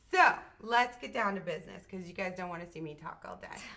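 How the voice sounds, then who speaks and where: A woman speaks in an American accent with an animated, bright, sharp tone. The room echo is audible. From Maine, US. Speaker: live show host. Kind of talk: live stream chat and interview.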